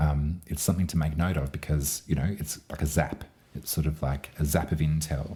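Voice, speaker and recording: Somewhat breathy and with a dark, mellow tone, a man speaks at a moderate pace with very deep, low pitch and monotone, flat intonation. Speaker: astrologer and tarot reader. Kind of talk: astrology forecast monologue. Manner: rambling with fillers.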